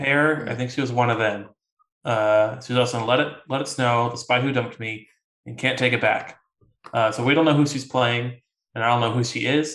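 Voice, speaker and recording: Using a normal speaking voice, a man speaks at a moderate pace and medium pitch with fairly even intonation. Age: 20s. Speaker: podcast co-host. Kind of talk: casual chat.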